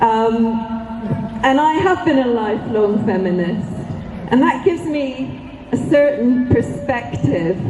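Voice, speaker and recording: At a very slow pace, a woman with a fairly high pitch speaks with very wide pitch swings, amid audible room echo and noticeable background noise. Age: 60s. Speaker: rally speaker, feminist activist. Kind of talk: rally speech.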